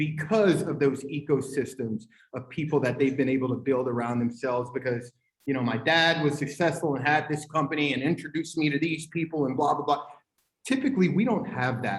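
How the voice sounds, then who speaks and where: A fairly high-pitched, somewhat breathy man's voice at a fairly quick pace, with ordinary pitch variation. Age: 40s. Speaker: tech company owner, panelist. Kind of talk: panel discussion. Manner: animated.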